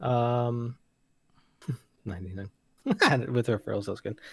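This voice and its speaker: A somewhat breathy man's voice at medium pitch, with an American accent and ordinary pitch variation. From California. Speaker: crypto trader. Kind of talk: casual livestream chat.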